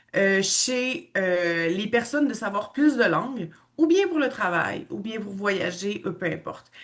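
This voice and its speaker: A woman's medium-pitched voice in a Quebec accent, very slow and lively in intonation. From western Canada, Quebecois parents. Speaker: language school owner and teacher. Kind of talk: online information presentation.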